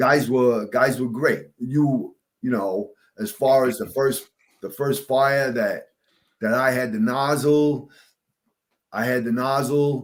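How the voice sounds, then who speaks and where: In a New York accent, a man speaks at a very slow pace with a medium pitch and ordinary pitch variation. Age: 60s. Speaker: retired fire captain. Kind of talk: casual interview chat.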